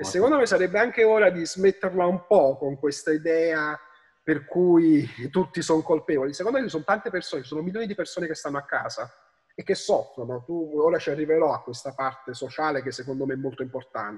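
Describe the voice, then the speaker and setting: Talking very fast against a quiet background, a man with a fairly high voice uses lively intonation. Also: big swings in loudness. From Naples, Italy. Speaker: history professor. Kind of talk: interview answer. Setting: remote call. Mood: earnest, somewhat argumentative. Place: home room. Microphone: video call.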